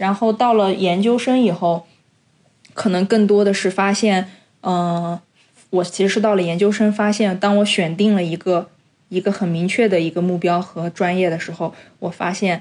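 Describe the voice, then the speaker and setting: At a moderate pace, a woman speaks in a normal speaking voice of medium pitch with fairly even intonation. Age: 30s. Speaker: podcast co-host. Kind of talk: casual chat.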